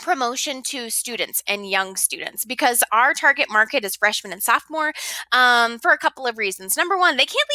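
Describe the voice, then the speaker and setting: A woman speaks at a high pitch with lively intonation, big swings in loudness and hardly any pauses. The sound is dry and close with no echo. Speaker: high school teacher. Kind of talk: lecture. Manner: fast.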